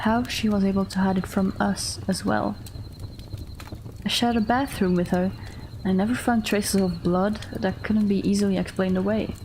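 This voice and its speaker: Through noticeable background noise, a woman speaks at a moderate pace with long, frequent pauses. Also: very even loudness. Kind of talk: horror story narration. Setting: livestream. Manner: soft, calm, measured.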